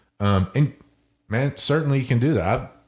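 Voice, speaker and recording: The man's voice comes across as somewhat breathy. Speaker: jiu-jitsu podcast co-host. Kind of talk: casual chat. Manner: energetic.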